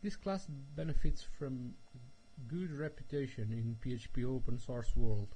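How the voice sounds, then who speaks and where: Audible room echo surrounds a man speaking at a fairly slow pace in a medium pitch, his dark, mellow tone somewhat breathy, with lively intonation and big swings in loudness. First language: Portuguese. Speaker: software developer. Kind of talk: tutorial. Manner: halting.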